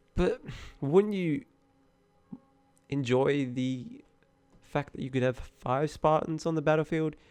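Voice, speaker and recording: A man's fairly high voice at a very slow pace, with long, frequent pauses, ordinary pitch variation and music in the background. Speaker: gaming commentator. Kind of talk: unscripted gaming commentary.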